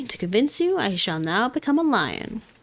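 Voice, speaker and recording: A female-sounding put-on character voice comes at a moderate pace, fairly high-pitched with very wide pitch swings. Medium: virtual streamer. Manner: brisk, boastful.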